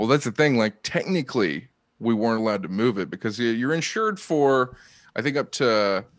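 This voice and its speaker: A man speaks at a medium pitch with a Midwestern accent, his pitch varying in an ordinary way. The pace is fairly quick, and the recording is very clean with a silent background. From Ohio. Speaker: comedian. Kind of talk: casual chat.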